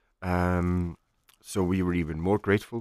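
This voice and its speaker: At a moderate pace, a man with an Icelandic accent speaks in a very deep, low voice, the sound dry and close with no echo. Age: 30s. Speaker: chef. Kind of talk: casual interview.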